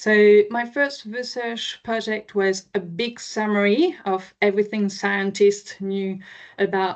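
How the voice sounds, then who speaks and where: Speech moves at a fairly slow pace. There is a slight French accent. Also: woman. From France, near Chartres. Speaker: marine scientist. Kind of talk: public presentation. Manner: hesitant, many fillers.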